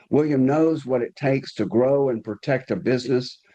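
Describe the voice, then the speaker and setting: With a strong Southern US accent, a man speaks at a moderate pace in a dark, mellow tone with ordinary pitch variation. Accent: deep Southern US. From US South. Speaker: podcast host. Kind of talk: podcast interview.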